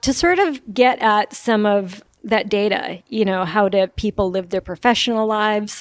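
In an ordinary speaking voice, a woman talks at a moderate pace and a fairly high pitch with ordinary pitch variation and hardly any pauses, on a very clean recording with a silent background. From New York. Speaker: veterinarian and researcher. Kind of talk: interview.

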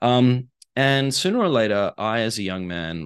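A man speaks with an Australian accent and ordinary pitch variation. The background stays quiet. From Australia (Perth). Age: 30s. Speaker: author and life coach. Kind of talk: casual interview.

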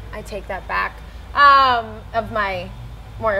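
A woman with an American accent speaks at a fairly slow pace. Noticeable background noise runs behind her. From US South, South Carolina coast. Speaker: musician. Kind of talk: interview. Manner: halting.

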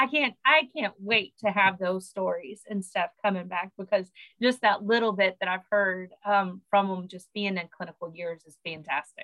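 This woman has an American accent. She talks at a moderate pace. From Oklahoma. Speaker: sports medicine physician and professor. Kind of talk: casual interview.

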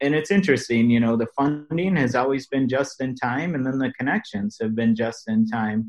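A man's medium-pitched voice with an American accent, an ordinary speaking voice at a moderate pace, ordinary pitch variation and hardly any pauses. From US Midwest, Milwaukee. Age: 40s. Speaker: ministry network president and businessman. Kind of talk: interview conversation.

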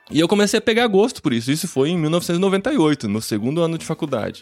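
Speaking at a fairly quick pace, a man moves through very wide pitch swings. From Brazil, interior of São Paulo (Piracicaba). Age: 40s. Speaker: podcaster. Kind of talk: interview conversation. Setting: video call live stream from home office. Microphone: studio microphone.

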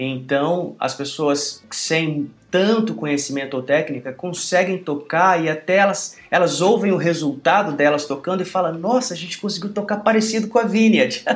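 At a moderate pace with hardly any pauses and ordinary pitch variation, the speaker talks over noticeable background noise. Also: man, high pitch for a man. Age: 40s. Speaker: pastor and worship musician. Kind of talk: interview.

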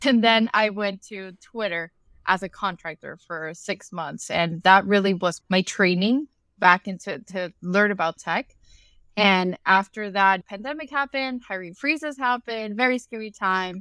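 Fairly slow and dry, with a close sound and no echo, a woman's medium-pitched voice has a bright, sharp tone, ordinary pitch variation and big swings in loudness. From Ecuador and Dominican Republic. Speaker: product marketing manager. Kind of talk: casual interview.

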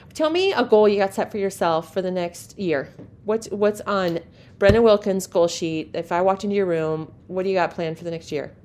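The woman's pitch is medium, with ordinary variation. She talks at a fairly quick pace. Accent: Midwestern US. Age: 50s. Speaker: podcast host, livestock show community. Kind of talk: casual interview.

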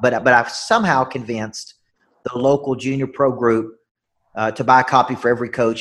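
Speaking with a Southern US accent, the man holds a medium pitch. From Tennessee. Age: 40s. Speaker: business coach and motivational speaker. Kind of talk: interview.

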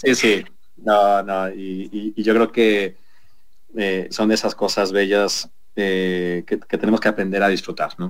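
A man speaks very slowly at a fairly low pitch. His intonation is flat and monotone. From Mexico City. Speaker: hotel group executive. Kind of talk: radio interview. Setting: video call.

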